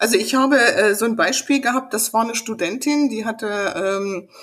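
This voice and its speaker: This woman speaks at a fairly high pitch with ordinary variation in her intonation. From rural upbringing on a farm. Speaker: business owner and image consultant. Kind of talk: casual interview. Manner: animated, passionate.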